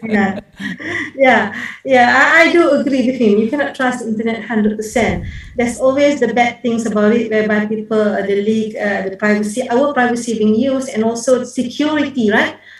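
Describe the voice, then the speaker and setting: A woman at a fairly quick pace with fairly even intonation, amid audible room echo and noticeable background noise. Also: fairly high pitch for a woman. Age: 60s. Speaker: professor, conference speaker. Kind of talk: conference Q&A answer. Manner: hesitant, many fillers.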